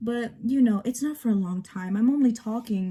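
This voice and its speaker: A woman's dark, mellow, somewhat breathy voice at a fairly slow pace. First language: bilingual, Spanish spoken at home. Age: 18. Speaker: vlogger. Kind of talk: casual get-ready-with-me vlog. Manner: hesitant with fillers.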